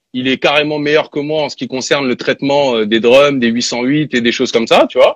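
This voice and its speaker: In an ordinary speaking voice, a man with a fairly high pitch talks at a moderate pace with fairly even intonation and hardly any pauses, in a dry, close sound with no echo. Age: 30s. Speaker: rapper and music producer. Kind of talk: casual interview.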